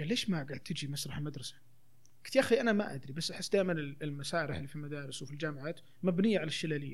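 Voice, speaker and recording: Somewhat breathy and fairly high-pitched, a man talks at a very fast pace with ordinary pitch variation and audible room echo. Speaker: theatre actor and children's theatre promoter. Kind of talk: casual chat.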